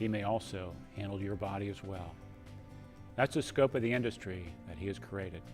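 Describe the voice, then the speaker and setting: Music plays in the background. The speech has lively intonation and long, frequent pauses. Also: man. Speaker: lawyer. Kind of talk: humorous tribute introduction.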